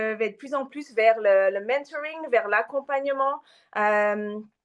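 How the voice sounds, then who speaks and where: Speaking at a fairly slow pace, a woman has a slight non-native accent. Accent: slight foreign accent in French. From Japan and Australia, mixed. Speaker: massage therapist and women's coach. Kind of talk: interview. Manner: hesitant, many fillers.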